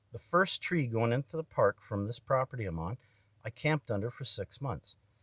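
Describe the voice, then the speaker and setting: A man speaks at a medium pitch with lively intonation and a somewhat breathy quality. The sound is dry and close, with no echo. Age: 50s. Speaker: video blogger. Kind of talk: personal monologue. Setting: indoors in a barn room. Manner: rambling, hesitant.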